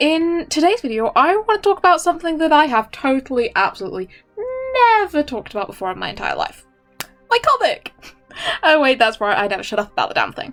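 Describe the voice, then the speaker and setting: With music in the background, the voice moves at a fairly quick pace through very wide pitch swings. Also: woman. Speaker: comic artist. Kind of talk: casual voice-over commentary.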